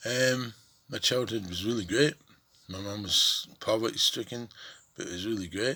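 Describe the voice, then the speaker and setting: The speaker has a bright, sharp tone and a Scottish accent, talking at a moderate pace with ordinary pitch variation, big swings in loudness, and long, frequent pauses. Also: man, medium pitch for a man. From Scotland, Cumbernauld near Glasgow. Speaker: vlogger telling his life story. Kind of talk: personal testimony monologue. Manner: halting.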